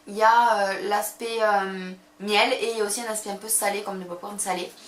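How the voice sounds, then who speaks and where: A woman at medium pitch shows big swings in loudness, with audible room echo and noticeable background noise. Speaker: beauty vlogger. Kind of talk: casual haul vlog. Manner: fast; animated.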